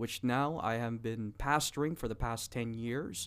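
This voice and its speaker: A man speaks in an unremarkable speaking voice at a medium pitch with ordinary pitch variation. His pace is fairly slow, on a very clean recording with a silent background. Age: 30s. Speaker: pastor. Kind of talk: religious discussion.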